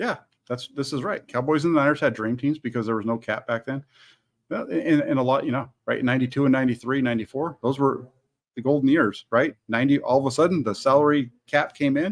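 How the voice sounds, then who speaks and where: This man speaks very fast, his fairly high voice moving through an ordinary range of pitch. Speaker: sports channel host. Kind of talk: live stream chat with viewer comments. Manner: loud.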